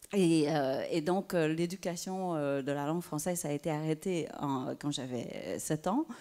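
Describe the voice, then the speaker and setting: A woman speaks fairly slowly with a Vietnamese accent. Her tone is dark and mellow. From southern Vietnam (Saigon), then Quebec from age 10. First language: Vietnamese (speaking French). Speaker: writer. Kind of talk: panel discussion. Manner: halting, many hesitations.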